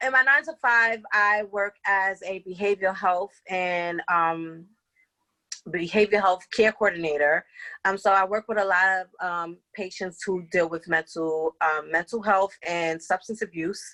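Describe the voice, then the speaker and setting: A woman with an American accent speaks fairly slowly at a medium pitch with ordinary pitch variation. Her tone is bright and sharp, with a dry, close sound and a quiet background. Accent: Bronx accent, noticed by others. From New York City, the Bronx. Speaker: life coach and behavioral health care coordinator. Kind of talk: podcast interview. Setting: at home.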